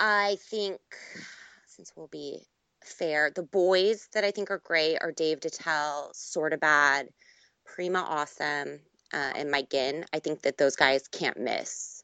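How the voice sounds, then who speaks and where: A woman speaks very slowly in a very deep, low voice, her loudness swinging widely while her pitch varies in an ordinary way. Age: 20s. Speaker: Twitter personality. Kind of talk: casual chat.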